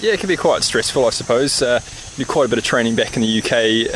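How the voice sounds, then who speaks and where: A man with a New Zealand accent at a very fast pace, with noticeable background noise. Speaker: military display pilot. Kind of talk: interview.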